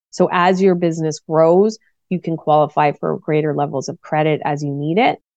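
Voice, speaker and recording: With a Maritime Canadian accent, a woman speaks at a very deep, low pitch. Her pace is moderate and her intonation fairly even. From Nova Scotia, Canada. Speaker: business coach. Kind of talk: interview.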